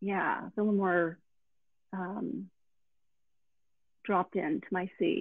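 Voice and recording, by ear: A woman speaks at a slow pace. The sound is dry and close with no echo.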